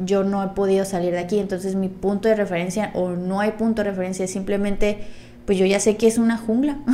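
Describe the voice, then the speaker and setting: Speaking at a fairly quick pace, a woman delivers her words in a monotone, flat intonation. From Veracruz and Tijuana, Mexico. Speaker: popping dancer and podcast co-host. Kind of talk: casual chat.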